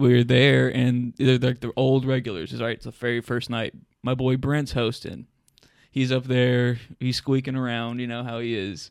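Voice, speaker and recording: A man with a Southern US accent, monotone and flat, at a moderate pace. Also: medium pitch for a man. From northern Alabama (New Market). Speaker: stand-up comedian. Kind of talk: casual chat.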